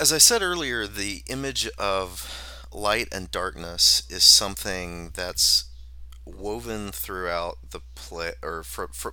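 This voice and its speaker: A man with a very deep, low pitch and vocal fry speaks at a very slow pace in a bright, sharp tone. His pitch swings very widely. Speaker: assistant professor of English. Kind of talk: casual literary discussion. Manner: halting, many repetitions.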